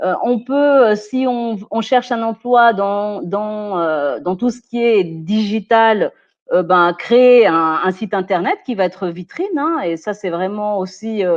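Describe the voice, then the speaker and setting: Against a quiet background, a woman speaks very slowly at medium pitch with ordinary pitch variation. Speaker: personal development expert. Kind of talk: webinar talk. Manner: hesitant, many fillers.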